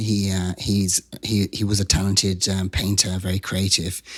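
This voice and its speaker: Recorded very cleanly against a silent background, a man talks in a fairly low voice with a monotone, flat delivery. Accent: British. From England, Wiltshire. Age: 50s. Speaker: activist and comedian. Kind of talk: interview.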